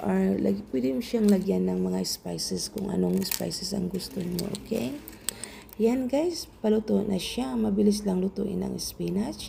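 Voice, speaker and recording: Noticeable background noise is present throughout. A woman talks at a fairly slow pace. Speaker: home cook vlogger. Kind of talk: cooking tutorial. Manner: casual, chatty.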